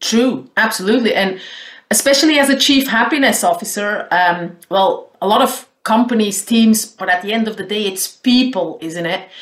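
A woman's fairly high-pitched voice with a Flemish accent. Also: ordinary pitch variation, moderate pace. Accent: Flemish Dutch-accented English. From Belgium, Flanders. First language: Dutch. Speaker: caller, happiness consultant and trainer. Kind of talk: phone interview.

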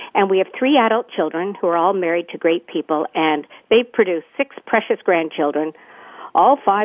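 With a Canadian accent, a woman talks at a moderate pace in a normal speaking voice, her medium pitch moving with lively intonation. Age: 60s. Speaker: retired nurse and wellness coach. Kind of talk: interview.

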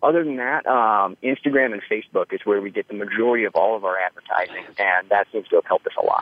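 The speaker talks with an American accent at a very fast pace. There are hardly any pauses, and pitch varies in an ordinary way. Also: man, medium pitch for a man. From northern Idaho. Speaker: gunsmith. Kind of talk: interview.

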